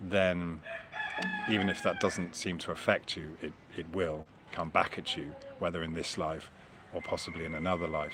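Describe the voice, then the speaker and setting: Over noticeable background noise, a man speaks at a moderate pace with a very deep, low pitch. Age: 50s. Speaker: flat earth video blogger. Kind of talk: solo monologue. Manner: halting, many repetitions and fillers; reflective, conversational.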